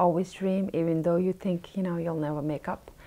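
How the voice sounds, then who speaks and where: Her pitch sits fairly low. This woman speaks in a flat monotone. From India. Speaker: restaurant owner. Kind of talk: interview.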